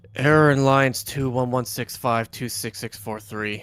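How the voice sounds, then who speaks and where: A man speaks at a moderate pace in a put-on character voice with a weary tone. His pitch sits in the medium range. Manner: depressed, flat, weary.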